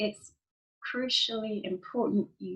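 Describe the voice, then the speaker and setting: A woman speaks at a fairly slow pace with a London accent. Her voice is somewhat breathy and medium in pitch. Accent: British English, London. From London, England. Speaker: IELTS teacher. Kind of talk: online lesson talk to camera.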